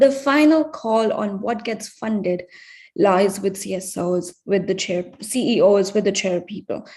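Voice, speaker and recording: A woman's somewhat breathy voice rises and falls with lively intonation against a quiet background. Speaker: researcher presenting findings. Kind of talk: conference presentation. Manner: hesitant, many fillers.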